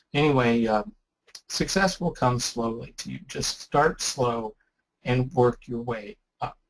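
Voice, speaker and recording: With lively intonation, a man speaks at a medium pitch and a fairly slow pace in an ordinary speaking voice. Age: 60s. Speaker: ham radio presenter. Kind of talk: webinar presentation. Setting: online webinar. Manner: casual, conversational.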